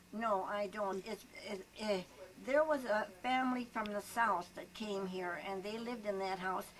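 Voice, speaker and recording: Over noticeable background noise, a woman with an American accent speaks at a moderate pace and a medium pitch. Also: ordinary pitch variation. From US Midwest, Hayward, Wisconsin. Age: 90s. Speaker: retired schoolteacher. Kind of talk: oral history interview. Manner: halting.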